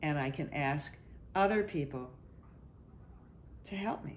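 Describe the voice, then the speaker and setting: Amid audible room echo, a woman with vocal fry talks fairly slowly with lively intonation. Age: 60s. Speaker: body therapist. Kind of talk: interview. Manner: halting.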